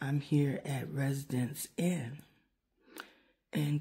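Over a quiet background, a somewhat breathy woman speaks with a dark, mellow tone, very deep, low pitch, and monotone, flat intonation. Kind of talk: casual vlog chat. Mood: relaxed, pleased. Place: home room. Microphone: phone near.

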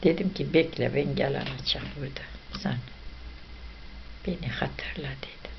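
With an Ahiska accent, the speech goes at a fairly slow pace with long, frequent pauses and big swings in loudness. Noticeable background noise runs underneath. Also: woman. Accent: Ahiska Turkish dialect. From northeastern Turkey. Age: old. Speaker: videomaker's mother. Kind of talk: casual family chat. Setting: at home. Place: home room. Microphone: camera far.

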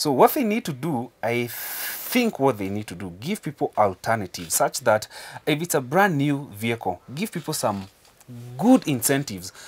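A man at a fairly slow pace, with very wide pitch swings. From Kenya. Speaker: car importer, business owner. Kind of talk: news interview. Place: studio. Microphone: lapel.

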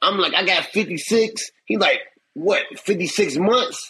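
Using a raised, projected voice, a man speaks with ordinary pitch variation. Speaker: interview guest. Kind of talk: interview answer, storytelling. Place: home room. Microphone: phone near.

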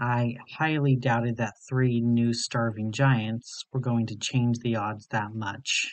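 A man at medium pitch, very slow and monotone, with flat intonation. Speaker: creepypasta narrator. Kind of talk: scripted horror narration, reading a story aloud.

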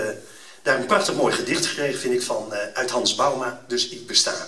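The speech comes at a very fast pace over light background noise, with audible room echo. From Netherlands. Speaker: event speaker. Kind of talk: fervent prayer, read aloud solemnly before an audience; public address to an audience, promotional speech. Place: hall. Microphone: camera far.

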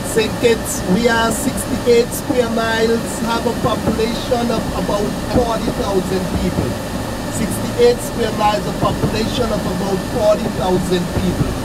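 The speech moves at a moderate pace against loud background noise. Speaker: tour guide or bus driver. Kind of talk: tour guide commentary. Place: bus. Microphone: camera far.

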